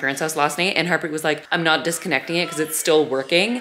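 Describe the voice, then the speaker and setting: A woman's very deep, low voice at a very fast pace, over light background noise. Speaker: family vlogger. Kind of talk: casual vlog chat. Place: home room. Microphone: phone near.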